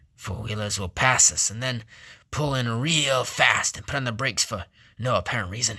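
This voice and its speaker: A man does a put-on character voice, raspy and at a medium pitch, with ordinary pitch variation. He talks at a moderate pace on a very clean recording with a silent background. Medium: read story. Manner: blunt, matter-of-fact.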